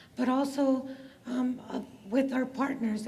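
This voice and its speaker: A woman with a high voice speaks, and there is audible echo in the room. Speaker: college administrator. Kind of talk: panel discussion.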